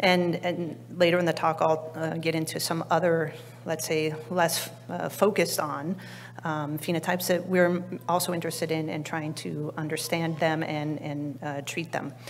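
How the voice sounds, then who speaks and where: Quiet and flat in intonation, a woman with a very deep, low pitch speaks at a moderate pace over light background noise. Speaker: biology researcher; presenter. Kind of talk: conference talk. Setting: conference stage with audience. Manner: halting, many fillers; quiet, weak projection. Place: hall. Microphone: podium.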